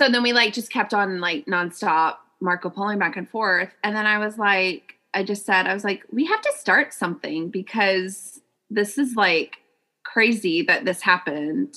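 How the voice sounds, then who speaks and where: This woman has an unremarkable speaking voice at a medium pitch. She talks with an American accent. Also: ordinary pitch variation, moderate pace. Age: 30s. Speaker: podcast co-host. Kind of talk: casual chat. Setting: remote recording.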